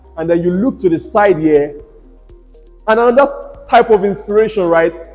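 There is faint music in the background behind a man speaking. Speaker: real estate tour host. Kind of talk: property tour commentary. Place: home room. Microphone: lapel.

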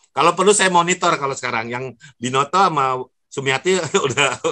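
The tone is bright and sharp, with lively intonation. The pace is moderate and the background quiet. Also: man. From Jakarta, Indonesia. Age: 60s. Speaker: professor. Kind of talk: webinar lecture. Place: home room. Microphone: earbuds.

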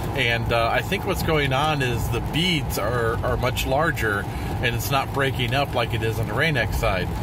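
Music plays in the background as a man speaks at a moderate pace in a dry sound with no echo. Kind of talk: casual vlog commentary. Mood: mildly surprised, amused. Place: car. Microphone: phone near.

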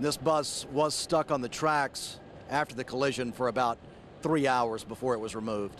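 A man's medium-pitched voice at a moderate pace, an unremarkable speaking voice. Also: fairly even intonation. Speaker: TV news anchor. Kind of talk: TV news anchor delivery.

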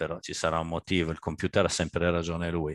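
Against a quiet background, a man with a very deep, low pitch speaks in a dry sound with no echo. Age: 60s. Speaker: architect. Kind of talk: lecture. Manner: halting. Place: home room. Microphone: headset.

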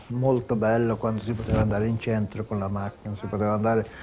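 Over light background noise, a man speaks in a flat monotone at a fairly quick pace, with hardly any pauses. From Sweden. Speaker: retired footballer. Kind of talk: interview answer. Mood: warm, reminiscing, smiling. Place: home room. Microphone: lapel.

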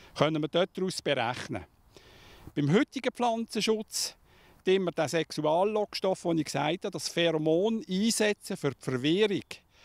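Over a quiet background, a man with a high voice talks at a moderate pace with lively intonation. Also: dry sound with no echo. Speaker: fruit grower. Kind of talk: interview answer. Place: farm. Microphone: handheld.

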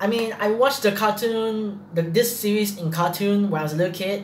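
With a high pitch and ordinary pitch variation, a man speaks at a moderate pace amid light background noise and audible room echo. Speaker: reaction video host. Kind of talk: casual vlog chat. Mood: nervous, laughing, freaked out. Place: home room. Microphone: webcam.

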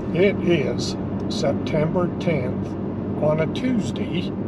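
A man's voice comes through dry with no echo, set against loud background noise. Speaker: vlogger. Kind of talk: casual vlog chat. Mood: relaxed, upbeat. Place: car. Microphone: phone near.

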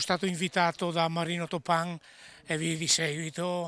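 A bright, sharp tone at a moderate pace, dry with no echo. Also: man. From Pordenone, north-east Italy; north-east Italy. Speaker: relative of a fallen worker. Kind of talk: testimony. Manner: halting, hesitant. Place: street. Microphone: handheld.

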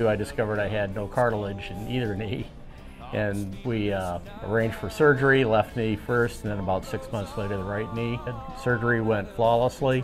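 Clear music plays in the background as a man speaks at a moderate pace. His pitch is fairly low and his intonation fairly even. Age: 60s. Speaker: knee replacement patient. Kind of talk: patient testimonial. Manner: casual, hesitant. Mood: pleased, upbeat. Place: hall.

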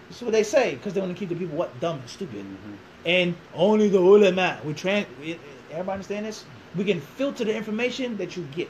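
Over light background noise, a man with a Philadelphia accent talks at a very fast pace and high pitch, his animated tone showing ordinary pitch variation and big swings in loudness. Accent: Philadelphia American English. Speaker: imam; interviewee. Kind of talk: interview. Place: classroom. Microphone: camera far.

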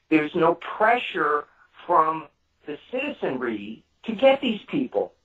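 His pace is fairly slow. The man talks in a New York accent. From New York City, Brooklyn. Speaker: true crime author. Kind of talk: casual chat.

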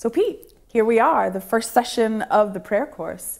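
An American accent with very wide pitch swings over a quiet background. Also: woman. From Ohio, US. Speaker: course host. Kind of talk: interview. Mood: warm, enthusiastic. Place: studio.

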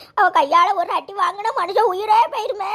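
Using a cartoonish character voice, a woman pitches her speech extremely high. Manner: melodramatic, wailing.

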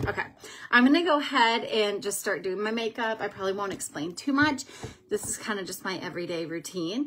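A woman with an unremarkable speaking voice and a medium pitch talks with lively intonation and big swings in loudness over light background noise. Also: fairly quick pace. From Minnesota. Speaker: beauty vlogger and makeup seller; beauty vlogger, makeup seller. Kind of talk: casual livestream makeup tutorial. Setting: live video stream at home. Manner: chatty, with frequent um fillers. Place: home room. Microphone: phone near.

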